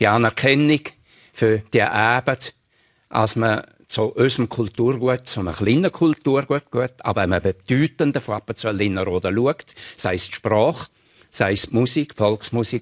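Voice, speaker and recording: A man with a strong Appenzell accent, medium pitch and ordinary pitch variation, over a quiet background. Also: moderate pace. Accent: broad Appenzell Innerrhoden dialect. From Switzerland, Appenzell Innerrhoden; Switzerland. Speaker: retired teacher and dialect collector; retired teacher. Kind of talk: radio interview. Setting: studio. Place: studio. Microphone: lapel.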